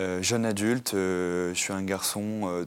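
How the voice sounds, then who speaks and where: Monotone, flat intonation marks a man's fairly low-pitched speech. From Normandy, France. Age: 20s. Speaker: author. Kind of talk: interview testimony. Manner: halting, many fillers.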